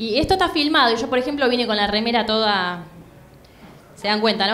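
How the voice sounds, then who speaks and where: A woman speaks with a Rioplatense accent. Light background noise can be heard. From Buenos Aires, Argentina. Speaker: stand-up comedian. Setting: stage with audience, comedy club. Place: stage. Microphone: handheld.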